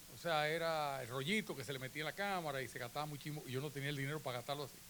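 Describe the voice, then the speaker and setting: Audible room echo surrounds a man whose bright, sharp tone sits at a fairly high pitch. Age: 70s. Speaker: photographer. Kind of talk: conference talk. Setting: auditorium with audience. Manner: conversational.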